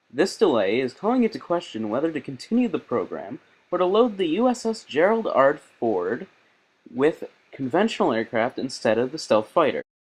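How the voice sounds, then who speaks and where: With vocal fry and very wide pitch swings, a man speaks at a fairly high pitch and a moderate pace. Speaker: news anchor (satirical). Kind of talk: satirical fake news anchor read; news anchor delivery.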